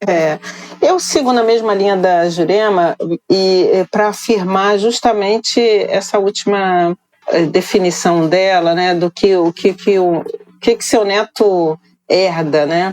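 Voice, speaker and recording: A woman speaks at a very slow pace with ordinary pitch variation, the sound dry and close with no echo. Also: medium pitch for a woman. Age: 60s. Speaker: activist organization coordinator. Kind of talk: panel discussion. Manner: halting.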